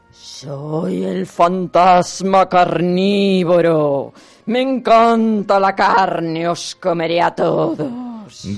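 A put-on character voice at middle pitch, very slow in pace, with hardly any pauses. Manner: menacing, demanding.

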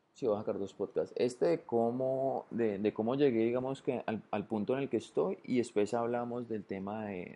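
Speaking at a moderate pace, a man uses a medium pitch and a dark, mellow tone with ordinary pitch variation. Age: 30s. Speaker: podcaster. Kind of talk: solo monologue podcast. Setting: at home on the sofa. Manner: casual, conversational.

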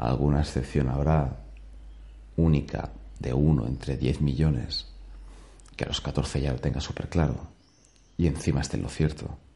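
A man with a very deep, low voice speaks at a moderate pace with fairly even intonation and long, frequent pauses, over noticeable background noise. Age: 30s. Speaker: podcaster. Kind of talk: daily monologue. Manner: casual.

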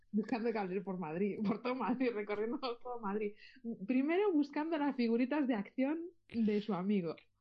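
Lively intonation marks this woman's speech, pitched fairly high. She keeps a moderate pace. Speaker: caller and singer. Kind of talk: casual chat. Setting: phone call.

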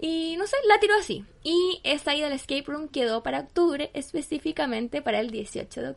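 The speaker talks at a fairly quick pace with lively intonation and hardly any pauses. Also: woman, high pitch for a woman. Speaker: podcast co-host and school teacher. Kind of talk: casual chat.

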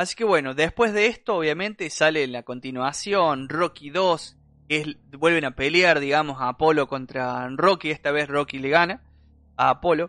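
At a moderate pace, a man speaks in a fairly high pitch with ordinary pitch variation and a bright, sharp tone, the sound dry and close with no echo over a quiet background. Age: 30s. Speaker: podcast host. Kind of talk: casual chat.

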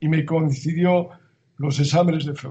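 Fairly high-pitched and monotone, a man speaks with flat intonation at a fairly slow pace. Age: 70s. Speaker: basketball strength and conditioning coach. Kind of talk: interview. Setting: at home, remote interview.

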